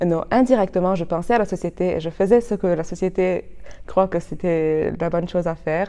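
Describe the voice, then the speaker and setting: A woman's dark, mellow tone, fairly low in pitch, at a moderate pace. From Lebanon, Chouf region. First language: Arabic (speaking French). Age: 20s. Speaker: law student. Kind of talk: interview. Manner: halting, many repetitions.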